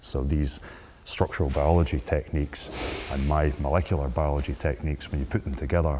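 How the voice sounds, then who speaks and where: Very deep and low in pitch, a man with a Scottish accent speaks at a fairly quick pace in a dark, mellow tone, with vocal fry and ordinary pitch variation. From Scotland. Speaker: microbiologist. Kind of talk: interview.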